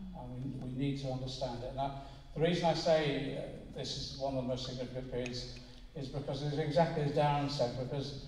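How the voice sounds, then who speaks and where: A man speaks in a monotone, flat way. There is audible room echo and light background noise. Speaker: politician addressing a meeting. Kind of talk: political speech. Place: hall. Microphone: pa.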